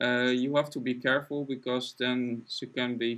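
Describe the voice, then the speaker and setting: A man with a non-native accent talks at a moderate pace and medium pitch with monotone, flat intonation, on a very clean recording with a silent background. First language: not English. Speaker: artist live-streaming drawing. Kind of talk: casual chat during live stream. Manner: halting.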